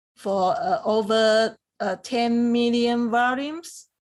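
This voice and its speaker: A woman with a Chinese accent speaks very slowly in a fairly high pitch with lively intonation. The recording is very clean, with a silent background. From Taiwan. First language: Mandarin Chinese. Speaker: academic researcher. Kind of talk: interview. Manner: halting, many fillers.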